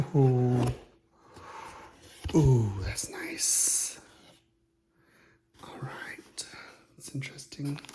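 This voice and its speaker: With long, frequent pauses, this man talks very slowly, his voice ringing with audible room echo. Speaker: YouTuber. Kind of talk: casual unboxing vlog. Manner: soft-spoken.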